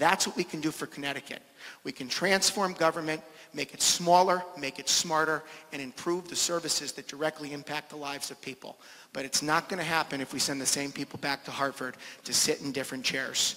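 This is an unremarkable speaking voice from a man with a fairly high pitch. He talks at a fairly quick pace with fairly even intonation. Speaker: political candidate; candidate. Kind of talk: political debate. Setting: stage with audience. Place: hall. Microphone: handheld.

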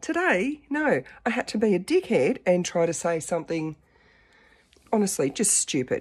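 Against a quiet background, somewhat breathy speech at a moderate pace has long, frequent pauses and very wide pitch swings. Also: woman, medium pitch for a woman. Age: 50s. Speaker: dating vlogger. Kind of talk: casual talk to camera. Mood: animated, self-mocking storytelling. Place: home room. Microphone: phone near.

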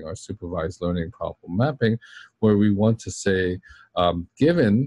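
The sound is dry, with no echo, as a man speaks at a fairly low pitch and a moderate pace. He has a plain, everyday voice. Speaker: university lecturer. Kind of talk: lecture. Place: office.

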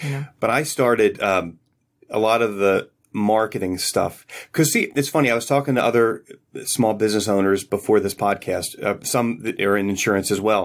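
Using a normal speaking voice, a man with an American accent speaks at medium pitch and moderate pace with ordinary pitch variation, on a very clean recording with a silent background. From Philadelphia area, US. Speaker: insurance agent. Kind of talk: casual interview chat. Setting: studio.

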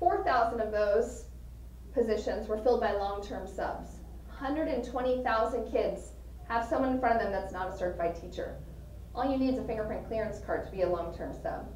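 A woman with an American accent at a moderate pace, with audible room echo and light background noise. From US Southwest. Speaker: education advocate and business lecturer; business lecturer. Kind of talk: lecture. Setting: stage with audience. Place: meeting room. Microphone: camera far.

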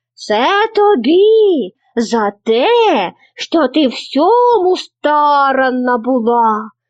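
In a put-on character voice, a woman speaks very slowly at a high pitch with very wide pitch swings. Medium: read story.

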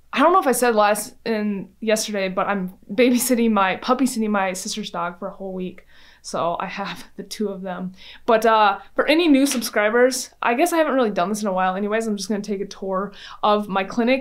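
Ordinary pitch variation at a fairly quick pace. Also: woman. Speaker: chiropractor. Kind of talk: casual vlog chat. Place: gym. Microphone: phone near.

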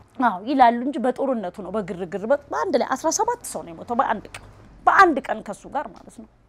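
At a fairly high pitch, a woman's voice makes very wide pitch swings and big swings in loudness. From Ethiopia, Harar; Ethiopia. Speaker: displaced widowed mother. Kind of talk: interview testimony. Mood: emotional, pleading. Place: home room. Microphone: lapel.

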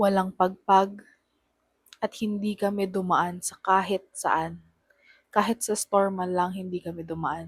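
The voice is somewhat breathy and moves at a fairly slow pace with monotone, flat intonation. The sound is dry and close, with no echo. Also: woman, medium pitch for a woman. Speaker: horror storyteller. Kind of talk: first-person ghost story telling, told as a true story. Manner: hushed, slow and suspenseful, building tension.

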